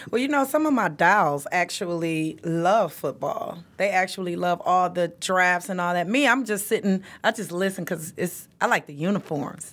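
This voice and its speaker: A woman with an American accent speaks at a moderate pace and medium pitch with lively intonation, in an ordinary speaking voice. The recording is very clean, with a silent background. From Detroit, Michigan, east side. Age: 40s. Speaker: podcast co-host. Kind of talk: casual chat. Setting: studio.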